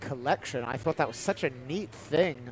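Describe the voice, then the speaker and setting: The speaker is a man. He has a British accent. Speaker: baseball commentator. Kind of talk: live commentary.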